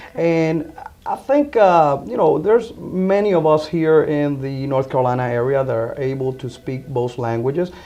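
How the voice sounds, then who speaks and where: A man talks at a moderate pace with a Spanish accent. His pitch is fairly high and his intonation lively. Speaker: insurance agent. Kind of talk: interview. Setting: insurance office.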